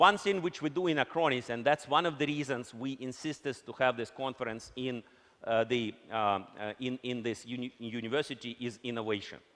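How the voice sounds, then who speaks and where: Speaking at a moderate pace, a man with a Russian accent uses a medium pitch and ordinary pitch variation. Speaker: company executive. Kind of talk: conference keynote.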